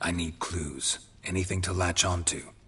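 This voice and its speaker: A man puts on a character voice, raspy and very deep, talking at a moderate pace. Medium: video game. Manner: terse, dry, flat.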